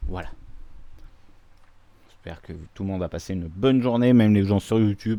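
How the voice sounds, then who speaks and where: A man with a dark, mellow tone and fairly low pitch talks at a fairly quick pace, with long, frequent pauses, ordinary pitch variation and big swings in loudness. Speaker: video game streamer. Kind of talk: gaming livestream commentary.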